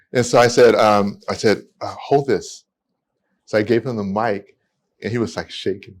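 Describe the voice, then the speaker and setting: A medium-pitched man with an American accent at a moderate pace, fairly even intonation, very clean recording with a silent background. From California. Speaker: immigration attorney. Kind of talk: podcast interview storytelling. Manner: halting, with repetitions.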